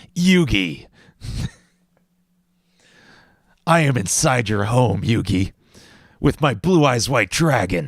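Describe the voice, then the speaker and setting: A man's put-on character voice, menacing and dramatic, at a fairly slow pace with long, frequent pauses. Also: medium pitch for a man. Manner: menacing, dramatic.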